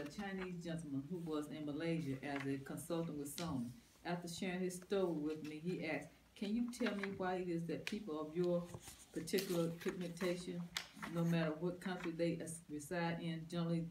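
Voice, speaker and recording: The speech comes at a fairly quick pace, with noticeable background noise behind it. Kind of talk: reading aloud from a book in a group study.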